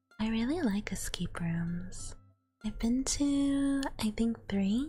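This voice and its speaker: A woman speaks at a very slow pace with a fairly high pitch. Music plays in the background. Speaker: ASMR streamer. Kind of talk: casual talk to camera, live stream chat with viewers. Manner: soft-spoken.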